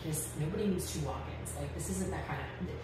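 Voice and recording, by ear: Over loud background noise and audible room echo, a woman talks at a fast pace, her pitch low and her pitch variation ordinary.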